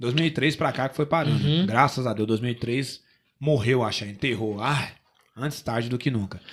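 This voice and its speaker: A man speaks in a plain, everyday voice at medium pitch, with ordinary pitch variation and a moderate pace. The recording is very clean, with a silent background. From São Paulo city, Brazil. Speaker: rapper and singer-songwriter. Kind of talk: casual interview chat.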